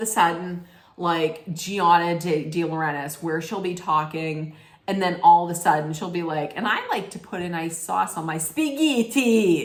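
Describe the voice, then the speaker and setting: Against noticeable background noise and audible room echo, a woman with a fairly low pitch sounds animated, with big swings in loudness and ordinary pitch variation. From Italian-American family. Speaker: reality TV recap vlogger. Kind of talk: casual rant. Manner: animated, rambling with self-corrections.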